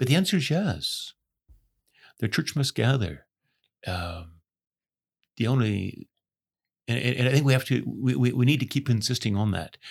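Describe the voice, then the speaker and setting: A man with vocal fry and lively intonation speaks at a moderate pace with long, frequent pauses on a very clean recording with a silent background. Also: medium pitch for a man. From Ontario, Canada. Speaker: retired pastor. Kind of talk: interview conversation. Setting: studio.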